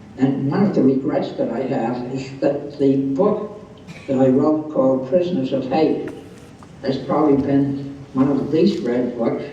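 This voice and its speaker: Over noticeable background noise, a man with a fairly high pitch talks at a fairly slow pace with ordinary pitch variation. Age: 80s+. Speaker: psychologist. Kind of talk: interview answer. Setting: video call.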